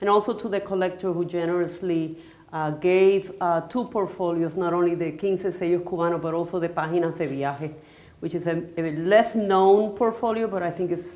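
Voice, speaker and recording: This woman has a Spanish accent and a fairly low pitch. She talks at a moderate pace with fairly even intonation and audible room echo. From Puerto Rico. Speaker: artist. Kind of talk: onstage interview. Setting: stage with audience. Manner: halting.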